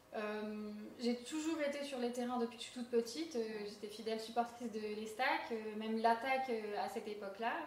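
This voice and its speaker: Amid noticeable background noise and audible room echo, a woman with a fairly high pitch speaks at a fairly quick pace with fairly even intonation. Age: 20s. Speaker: amateur football coach. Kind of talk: interview. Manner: hesitant, many filler words.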